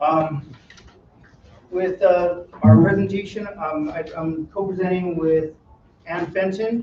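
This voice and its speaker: Loud and at a very slow pace, a man with a high pitch uses ordinary pitch variation and takes long, frequent pauses. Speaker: retired police officer. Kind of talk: presentation. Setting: meeting with live audience.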